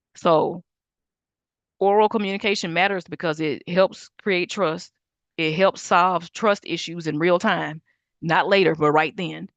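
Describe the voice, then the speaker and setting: A woman with an ordinary speaking voice, a fairly low pitch and fairly even intonation at a fairly slow pace, in a dry, close sound with no echo and a quiet background. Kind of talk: teaching livestream lecture. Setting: Zoom and YouTube livestream.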